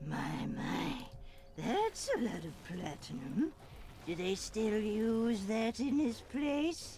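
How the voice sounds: A put-on character voice, fairly high in pitch, at a very slow pace with clear background noise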